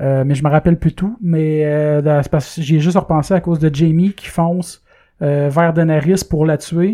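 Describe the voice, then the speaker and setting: Speaking at a fairly slow pace with a Quebec accent, a man has a fairly high pitch, a dark, mellow tone and fairly even intonation. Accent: Québécois French. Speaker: podcast host. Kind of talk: casual chat. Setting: studio.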